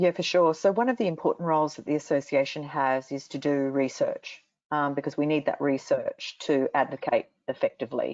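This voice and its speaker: Speaking in an Australian accent, a woman has a very deep, low pitch with ordinary pitch variation. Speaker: industry association CEO. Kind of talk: panel interview.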